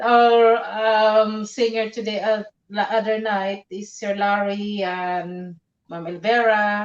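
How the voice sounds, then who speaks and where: Speaking very slowly in a Filipino accent, a woman keeps a fairly high, monotone, flat intonation. Her loudness swings a lot. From Philippines. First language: Tagalog. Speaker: live streamer. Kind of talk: casual chat. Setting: live stream. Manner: halting.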